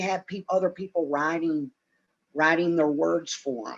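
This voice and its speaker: A man talks at a moderate pace with fairly even intonation and a fairly high pitch, in a normal speaking voice. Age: 50s. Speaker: retired professional wrestler. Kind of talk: podcast interview.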